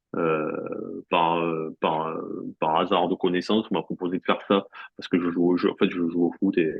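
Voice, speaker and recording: A man with a strong Marseille accent, very deep, low pitch and monotone, flat intonation at a moderate pace. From France, Marseille. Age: 40s. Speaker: sports journalist. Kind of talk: interview. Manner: halting, many fillers and repeats.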